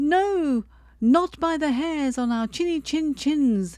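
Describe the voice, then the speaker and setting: A woman uses a put-on character voice, high-pitched and raised to project. Her pace is fairly slow. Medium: read story. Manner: frightened.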